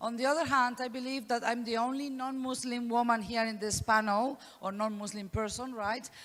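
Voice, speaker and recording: A woman with a Spanish accent talks at a fairly quick pace in a high voice, with fairly even intonation and hardly any pauses. Audible room echo is present. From Spain. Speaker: professor. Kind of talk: conference talk. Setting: conference panel. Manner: fast.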